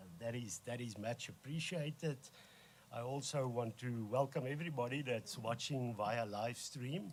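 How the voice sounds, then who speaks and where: A man speaks with a South African accent. His pitch sits in the medium range. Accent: Afrikaans South African. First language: Afrikaans. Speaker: organisation leader. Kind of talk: formal speech. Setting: press conference. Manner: halting.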